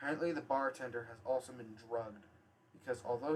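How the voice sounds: This is a natural reading voice. The pitch variation is ordinary.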